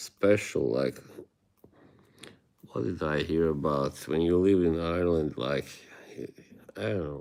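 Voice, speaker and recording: Speaking in an Eastern European accent, a man has a very deep, low pitch, a dark, mellow tone and ordinary pitch variation. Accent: Eastern European (Slavic), moderate. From Bosnia. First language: Bosnian. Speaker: streamer. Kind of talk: casual live-stream chat with viewers. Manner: halting.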